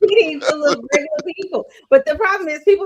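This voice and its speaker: A very fast pace with a Texan accent. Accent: Texan Southern. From Texas.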